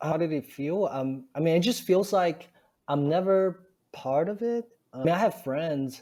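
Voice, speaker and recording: On a very clean recording with a silent background, a man with a dark, mellow tone speaks at a moderate pace and with lively intonation. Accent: Chinese. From China. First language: Chinese. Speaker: stand-up comedian. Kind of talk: interview answer. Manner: hesitant, many fillers.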